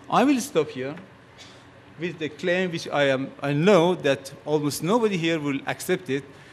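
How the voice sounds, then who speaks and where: A man with a fairly high pitch speaks with a Persian accent. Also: ordinary pitch variation, moderate pace. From Iran. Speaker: physicist. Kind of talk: conference talk.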